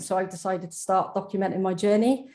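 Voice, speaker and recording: Speaking with a British accent, a woman's voice sits at a medium pitch. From UK. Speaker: donor-conception advocate. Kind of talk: webinar panel testimony.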